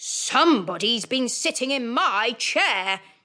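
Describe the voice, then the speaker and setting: In a put-on character voice, a woman talks fairly slowly at a high pitch. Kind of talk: storybook.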